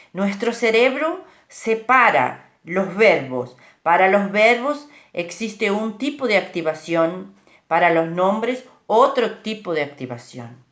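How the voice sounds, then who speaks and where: Very slow speech with vocal fry swings very widely in pitch. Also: woman, medium pitch for a woman. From Uruguay. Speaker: speaker on bilingualism. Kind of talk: informal talk. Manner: hesitant, with fillers.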